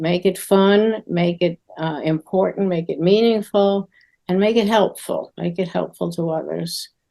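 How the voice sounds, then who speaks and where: A woman with an American accent speaks at a medium pitch in a dark, mellow tone. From New York, Queens. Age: 80s+. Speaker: children's TV writer. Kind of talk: interview.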